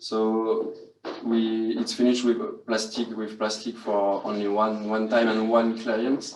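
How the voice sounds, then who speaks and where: Speaking very slowly, a man talks with a French accent. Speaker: hospitality student. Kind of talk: guided tour. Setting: hotel room. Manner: halting.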